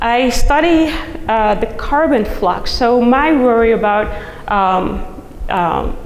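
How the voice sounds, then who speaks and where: A woman with a Dutch accent, a high pitch, and ordinary pitch variation, amid noticeable background noise and audible room echo. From Netherlands. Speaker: soil scientist, professor. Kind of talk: conference talk.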